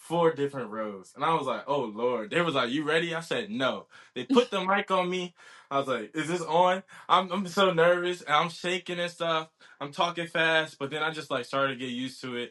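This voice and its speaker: With an American accent and a plain, everyday voice, a man speaks at a fairly quick pace in a fairly high pitch with lively intonation. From Virginia, Newport News. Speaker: college football player and student athlete. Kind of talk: casual interview. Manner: casual, many fillers and restarts.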